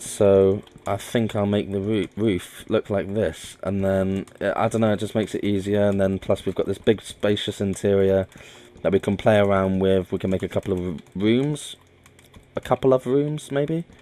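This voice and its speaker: The voice mumbles in a dark, mellow tone. Its pitch varies in an ordinary way. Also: man, fairly low pitch for a man, moderate pace. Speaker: gaming video creator. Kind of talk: gameplay commentary. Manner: mumbling; halting, many fillers and restarts.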